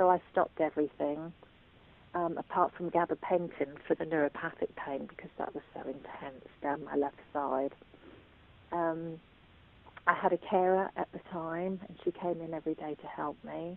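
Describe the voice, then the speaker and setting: A woman with an English accent, fairly low in pitch, at a moderate pace, with fairly even intonation and big swings in loudness. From England. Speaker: patient sharing illness experience. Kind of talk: testimony. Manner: hesitant, with frequent fillers.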